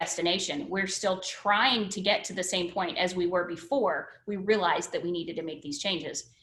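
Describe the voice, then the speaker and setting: With an American accent, a woman talks at a medium pitch and a moderate pace, with ordinary pitch variation and audible room echo. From northern US. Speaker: education services presenter. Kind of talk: webinar presentation. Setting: video call.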